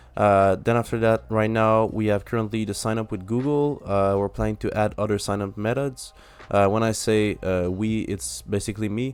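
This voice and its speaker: Someone with a French accent speaks at a moderate pace and with fairly even intonation. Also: man, fairly low pitch for a man. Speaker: app developer. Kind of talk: software demo tutorial. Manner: halting, many fillers.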